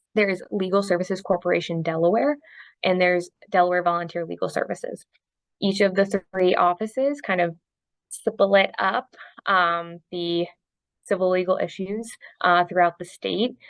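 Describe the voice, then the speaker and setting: A woman's medium-pitched, fairly even voice at a moderate pace, a normal speaking voice. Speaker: housing attorney. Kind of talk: online training presentation. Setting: video call. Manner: many filler ums.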